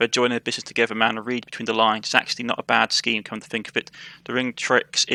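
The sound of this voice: This is an unforced reading voice. It reads the words through.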